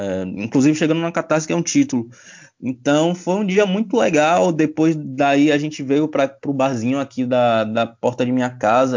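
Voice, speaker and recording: With a normal speaking voice, a man talks at a moderate pace and with ordinary pitch variation. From Bahia, Brazil. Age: 20s. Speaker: sports journalist. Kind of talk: casual chat.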